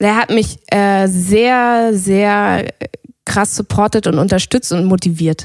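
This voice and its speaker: A woman speaks at a very slow pace in a medium pitch. Her loudness stays very even and her intonation fairly even. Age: 30s. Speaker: yoga teacher. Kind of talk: casual chat.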